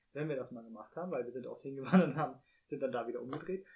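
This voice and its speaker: A man with a fairly high pitch and a dark, mellow tone sounds somewhat breathy, with ordinary pitch variation. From Rhineland-Palatinate, Germany. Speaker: podcast co-host. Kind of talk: casual chat.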